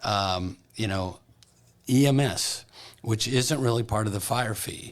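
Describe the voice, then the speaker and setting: Male speech at a medium pitch, moving up and down with ordinary variation. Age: 60s. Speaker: county commissioner. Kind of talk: casual interview. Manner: halting, repeats words.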